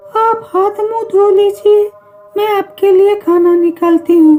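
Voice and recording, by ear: Faint music plays in the background as a woman does a cartoonish character voice at an extremely high pitch and a fairly slow pace.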